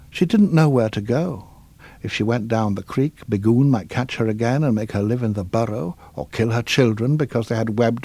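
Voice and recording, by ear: The pitch moves in an ordinary way. The text is read aloud in a natural voice.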